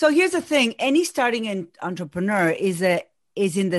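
Against a quiet background, a woman with an Argentine accent talks at a moderate pace in a medium pitch with very wide pitch swings. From Argentina. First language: Spanish. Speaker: business coach. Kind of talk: casual interview.

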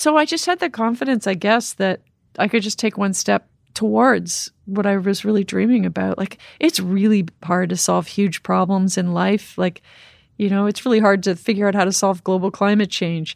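A woman with a plain, everyday voice, medium in pitch with ordinary pitch variation, at a moderate pace, in a very clean, silent recording with a dry, close sound and no echo. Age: 50s. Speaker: cave diver and explorer. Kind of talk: interview conversation.

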